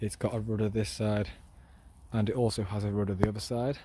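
A man with a fairly low, somewhat breathy voice talks at a fairly quick pace and fairly even intonation, recorded dry with no echo over light background noise. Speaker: explorer vlogger. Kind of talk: casual walkthrough commentary. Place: waterside. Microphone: phone near.

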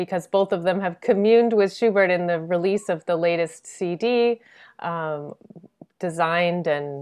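At a moderate pace against a quiet background, a woman speaks in a fairly low voice with ordinary pitch variation. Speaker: event host. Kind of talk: introduction of guests. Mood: warm, smiling. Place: home room. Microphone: video call.

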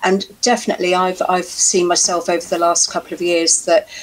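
At a moderate pace, a woman uses a normal speaking voice with a fairly low pitch. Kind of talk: interview answer. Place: home room. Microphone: headset.

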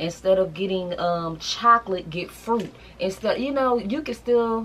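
At a moderate pace, a woman speaks with ordinary pitch variation over light background noise. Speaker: lifestyle vlogger. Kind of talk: casual vlog chat. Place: home room.

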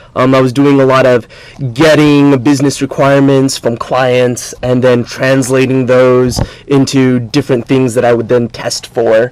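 A man with an American accent, monotone and flat, at very even loudness and a moderate pace, in dry sound with no echo. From California. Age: 20s. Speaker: team leader in a school service program. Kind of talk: TV interview. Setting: TV studio. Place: studio.

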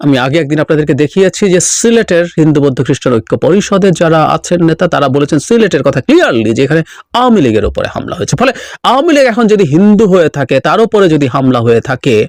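In a dry, close sound with no echo, a man's fairly high voice makes very wide pitch swings. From Bangladesh, Rangamati district. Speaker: political commentator. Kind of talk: political commentary monologue. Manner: halting.

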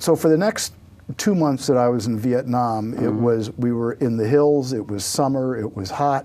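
Speaking with an American accent, a man keeps a medium pitch, moderate pace, and ordinary pitch variation. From New Jersey. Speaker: author and war veteran. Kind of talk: interview; interview answer. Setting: studio. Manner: halting. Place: studio. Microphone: lapel.

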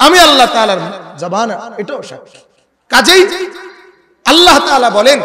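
A man speaks in a raised, projected voice at an extremely high pitch, with an animated tone and very wide pitch swings. His loudness swings a lot over light background noise. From Bangladesh. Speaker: Islamic preacher. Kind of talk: sermon. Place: stage. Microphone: handheld.

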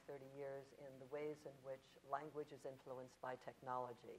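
Monotone, flat intonation at a moderate pace. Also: woman. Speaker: linguist and professor.

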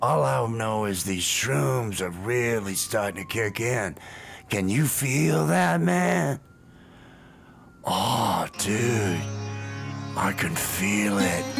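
A cartoonish character voice speaks at a low pitch and a very slow pace. Long, frequent pauses break it up, with clear background noise behind. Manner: dithering, then dreamy and laid-back.

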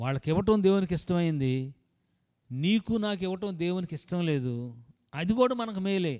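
A man's high-pitched voice with lively intonation. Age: 70s. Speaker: pastor. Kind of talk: sermon.

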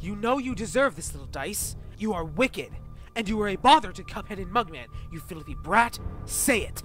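A man does a cartoonish character voice, high-pitched with very wide pitch swings and a fairly bright tone. He keeps a moderate pace while faint music plays in the background.

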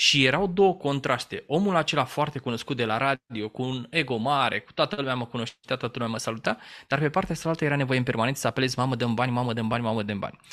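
A man talks at a very fast pace in a bright, sharp tone. The background is quiet. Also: ordinary pitch variation. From Romania, Teleorman; Romania. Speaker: business trainer and former radio journalist; interview guest. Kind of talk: interview. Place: home room. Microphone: studio mic.

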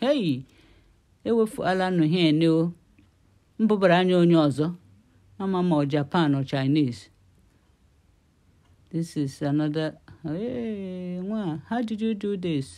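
Against a quiet background, a woman with a fairly low pitch and a dark, mellow tone speaks at a fairly slow pace with lively intonation and long, frequent pauses. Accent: Nigerian. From Nigeria. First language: Igbo. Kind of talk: casual commentary over video. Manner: excited, amused.

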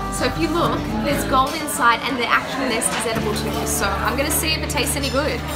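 A woman at a fairly quick pace over loud background music. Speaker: vlogger reviewing a cafe. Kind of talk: casual vlog chat. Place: cafe. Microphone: phone near.

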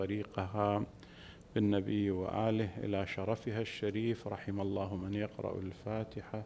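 A man at a very slow pace, fairly low-pitched and monotone with flat intonation, against light background noise. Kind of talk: sermon. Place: hall. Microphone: podium.

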